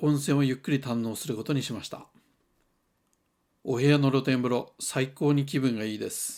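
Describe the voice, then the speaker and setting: On a very clean recording with a silent background, a man speaks with a slight Toyama accent and ordinary pitch variation. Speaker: hot spring travel reviewer. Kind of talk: travel vlog narration.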